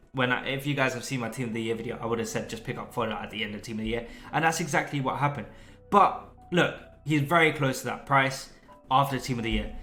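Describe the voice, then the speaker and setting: Very fast speech from a man at medium pitch with ordinary pitch variation, plus audible room echo and music in the background. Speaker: gaming youtuber. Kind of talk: tutorial. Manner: animated.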